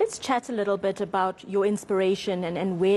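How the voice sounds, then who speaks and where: The speech comes at a very fast pace. It is delivered in a South African accent. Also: woman. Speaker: TV news presenter. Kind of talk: TV interview. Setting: TV studio.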